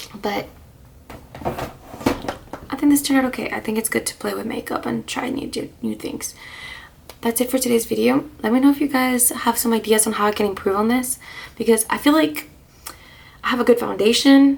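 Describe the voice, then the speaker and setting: A soft-spoken woman whispers at a moderate pace with long, frequent pauses, over noticeable background noise. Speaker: beauty vlogger. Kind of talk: casual chat. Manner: whispery soft-spoken. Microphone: quiet, volume turned up.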